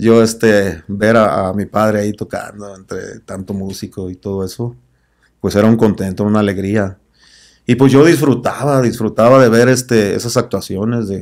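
A man speaks at a moderate pace in an unremarkable speaking voice with a fairly low pitch. His intonation is fairly even, and the background is quiet. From Tepic, Nayarit, Mexico; Nayarit, Mexico. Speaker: band singer; podcast guest. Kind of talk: interview. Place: studio. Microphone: studio mic.

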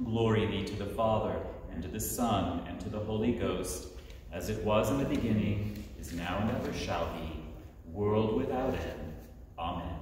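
A man's voice with strong room echo and light background noise. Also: fairly low pitch for a man, ordinary pitch variation, moderate pace. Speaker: officiant leading evening prayer. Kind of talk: liturgical prayer service. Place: church. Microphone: camera far.

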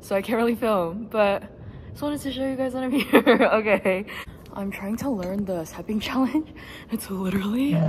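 A woman talks fairly quickly while loud background noise fills the clip. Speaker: college student vlogger. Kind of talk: casual vlog chat. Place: gym. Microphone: phone near.

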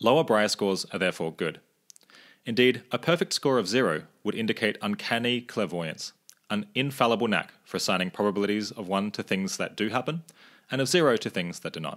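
In a very clean recording with a silent background, a man with an unremarkable speaking voice talks fairly quickly in a fairly low pitch, with lively intonation. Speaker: podcast host. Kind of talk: interview.

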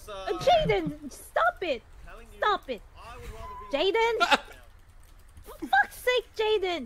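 The voice sits at an extremely high pitch and moves at a very slow pace, broken by long, frequent pauses. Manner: shouting, furious.

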